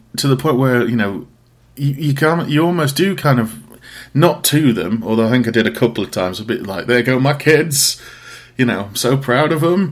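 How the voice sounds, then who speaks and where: This man has an East Midlands accent. His pitch varies in an ordinary way. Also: medium pitch for a man, moderate pace. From Derbyshire, English East Midlands. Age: 30s. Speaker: podcast host and graphic designer. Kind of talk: casual interview chat.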